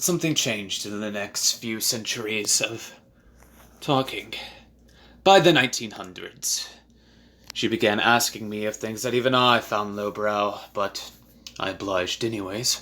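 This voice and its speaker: Putting on a character voice with a menacing tone, a man of medium pitch speaks at a moderate pace with long, frequent pauses, in a very clean recording with a silent background. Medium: audio drama. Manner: menacing, contemptuous.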